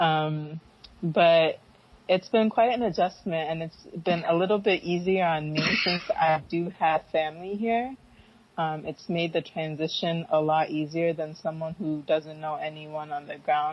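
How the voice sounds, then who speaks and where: A woman's fairly low voice at a fairly slow pace, ordinary pitch variation, noticeable background noise. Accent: Northeastern US. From US Northeast, Philadelphia suburbs. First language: Fanti. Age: 20s. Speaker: entrepreneur. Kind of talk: interview.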